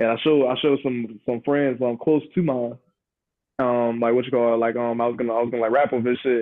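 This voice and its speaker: A man with an American accent talks at a very fast pace. His voice sits at a medium pitch. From US South. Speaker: rapper. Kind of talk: interview. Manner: halting.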